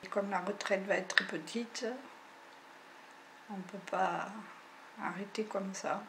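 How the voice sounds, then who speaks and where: Against noticeable background noise, a woman at medium pitch speaks fairly slowly in a monotone, flat intonation, with long, frequent pauses. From French Basque Country. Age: 60s. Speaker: farmer. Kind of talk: testimony. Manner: halting.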